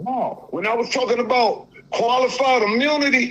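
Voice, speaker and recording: Over noticeable background noise, a man with an extremely high pitch speaks in a raised, projected voice at a fairly slow pace. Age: 60s. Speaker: caller. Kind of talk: call-in conversation. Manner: halting.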